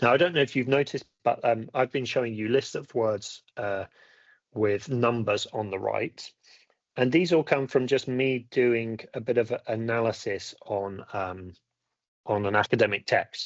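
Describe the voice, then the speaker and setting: A man talks at a moderate pace, his medium pitch showing ordinary variation. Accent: British. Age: 50s. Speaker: academic skills teacher. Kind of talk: webinar lecture. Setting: online webinar. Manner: halting, many fillers.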